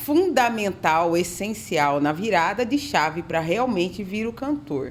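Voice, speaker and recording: A woman's animated tone rises and falls in very wide pitch swings. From Brazilian countryside (interior). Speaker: podcast host. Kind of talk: casual interview chat.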